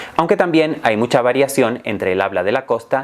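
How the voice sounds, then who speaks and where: The man speaks with lively intonation. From Canary Islands. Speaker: Spanish teacher. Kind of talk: educational talk. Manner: clear, measured.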